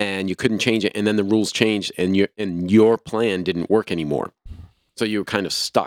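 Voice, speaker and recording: A normal speaking voice from a man with an American accent, fairly low in pitch, fairly even in intonation and moderate in pace, on a very clean recording with a silent background and a dry, close sound with no echo. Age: 60s. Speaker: podcast host. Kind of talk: casual chat.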